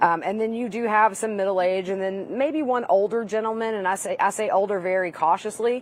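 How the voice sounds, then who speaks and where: Delivered at a fairly quick pace with hardly any pauses, the speech carries a Southern US accent and ordinary pitch variation. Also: woman, medium pitch for a woman. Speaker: trial reporter. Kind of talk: live panel discussion.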